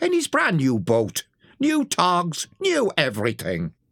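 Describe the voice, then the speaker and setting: A put-on character voice at a fairly slow pace, with a dry, close sound and no echo. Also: man. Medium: read story.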